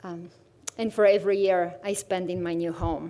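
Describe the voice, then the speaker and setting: A woman speaks in a dark, mellow tone with a Bulgarian accent. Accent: Bulgarian accent, kept after 22 years in US. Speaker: visual artist in residence. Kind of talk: artist presentation.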